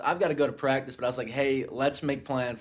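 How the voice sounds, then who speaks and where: In a Southern US accent, a man speaks at a medium pitch. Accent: southern drawl. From US South. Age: 20s. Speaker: podcast host. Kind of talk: casual chat. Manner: animated.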